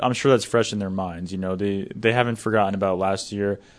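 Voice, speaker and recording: With fairly even intonation and a normal speaking voice, a man moves along at a fairly quick pace. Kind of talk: studio sports-talk panel show, not live play-by-play; analytical. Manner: conversational, casual, filler-heavy ('you know'), even and explanatory.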